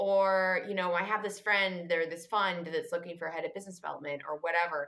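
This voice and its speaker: A woman with a western Canadian accent, at a fairly quick pace. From Canada, Vancouver. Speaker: finance entrepreneur and author. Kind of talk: casual interview. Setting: remote podcast call.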